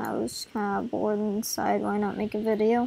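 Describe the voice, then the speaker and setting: A woman's voice at a fairly high pitch. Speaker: gaming video creator. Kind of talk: gameplay commentary. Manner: hesitant, many fillers.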